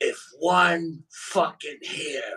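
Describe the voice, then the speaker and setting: A man puts on a character voice. It is raspy and menacing in tone. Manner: menacing threat.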